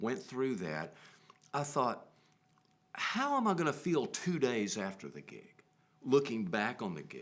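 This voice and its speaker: A man with a medium pitch at a fairly slow pace, his pitch swinging very widely and his loudness in big swings, with vocal fry. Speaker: musician, bandleader. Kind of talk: casual interview conversation. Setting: TV studio. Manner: chatty.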